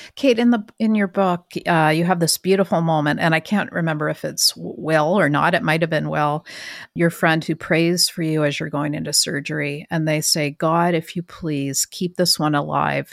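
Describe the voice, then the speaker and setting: A woman with a Canadian accent speaks in a very deep, low pitch at a moderate pace, with hardly any pauses and ordinary pitch variation. The recording is very clean, dry and close, with a silent background and no echo. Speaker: magazine podcast host. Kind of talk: interview.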